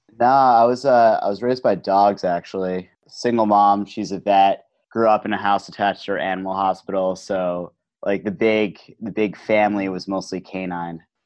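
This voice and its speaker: A man with an American accent has an unremarkable speaking voice. He talks at a moderate pace and a fairly low pitch with fairly even intonation. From New Jersey. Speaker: head of marketing, author. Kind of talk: casual interview.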